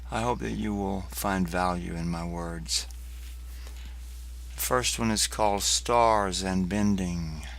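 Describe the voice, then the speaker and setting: With very wide pitch swings, a man talks at a very slow pace amid audible room echo. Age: 60s. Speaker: poet. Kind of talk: casual chat. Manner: halting.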